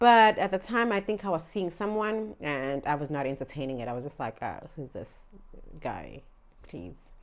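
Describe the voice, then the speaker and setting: Against a quiet background, a woman with a Zulu accent speaks at a moderate pace in a fairly low pitch, her pitch swinging very widely. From South Africa, Durban area (KwaZulu-Natal). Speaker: vlogger. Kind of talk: storytime vlog. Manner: casual, chatty.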